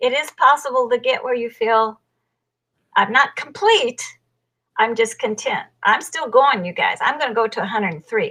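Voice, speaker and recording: A woman's raised, projected voice, high and bright with a sharp tone, moves at a moderate pace with lively intonation and big swings in loudness. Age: 70s. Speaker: life coach and author. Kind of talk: interview testimony.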